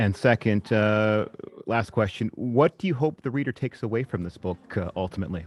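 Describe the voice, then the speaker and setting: In a normal speaking voice, a man with a fairly low pitch talks at a fairly quick pace with lively intonation, the sound dry and close with no echo. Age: young. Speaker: broadcast host. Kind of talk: interview.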